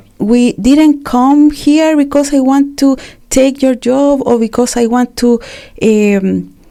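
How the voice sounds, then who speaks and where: A woman with a Spanish accent, a high pitch and a dark, mellow tone, at a very slow pace, with fairly even intonation and very even loudness. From Chile. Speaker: refugee and community activist. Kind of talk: interview testimony. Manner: halting with fillers.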